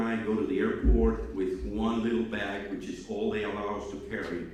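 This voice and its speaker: There is noticeable background noise and audible room echo around this man. His voice sits fairly low, with ordinary pitch variation. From Cuba. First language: Spanish. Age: old. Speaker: speaker at student awards ceremony. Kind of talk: speech to students. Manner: halting, many fillers.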